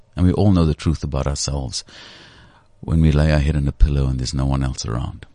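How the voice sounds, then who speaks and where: Through noticeable background noise, a man speaks at a very deep, low pitch with ordinary pitch variation. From South Africa, Cape Flats (Cape Town). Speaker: CEO and former news anchor. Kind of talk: interview. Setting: studio.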